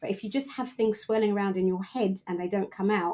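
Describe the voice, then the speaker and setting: A woman's dark, mellow voice at medium pitch, with a British accent, ordinary pitch variation and a fairly quick pace. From UK, Caribbean family background. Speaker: coach and mentor for women in tech. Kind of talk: podcast interview. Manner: loud, forthright.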